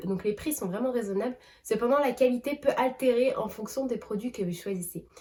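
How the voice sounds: A woman speaks with a fairly high pitch and a slightly mellow tone.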